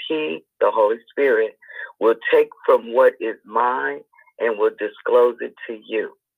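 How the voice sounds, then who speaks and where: A man talks at a very slow pace. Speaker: devotional group participant. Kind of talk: group Bible study discussion.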